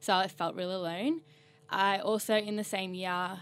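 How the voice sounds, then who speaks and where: With an Australian accent, a woman of medium pitch speaks at a moderate pace and with fairly even intonation. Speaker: communications officer. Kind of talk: casual chat.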